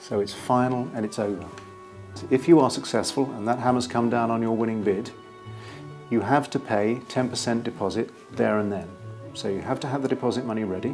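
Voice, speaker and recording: A man's medium-pitched voice at a fairly quick pace, with ordinary pitch variation, long, frequent pauses and music in the background. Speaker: property auctioneer. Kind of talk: auctioneer explaining to camera.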